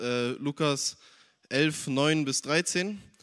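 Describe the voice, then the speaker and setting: A man with an unremarkable speaking voice talks at a fairly high pitch with ordinary pitch variation. The sound is dry and close, with no echo. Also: very clean recording, silent background. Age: young. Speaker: church youth member. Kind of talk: testimony.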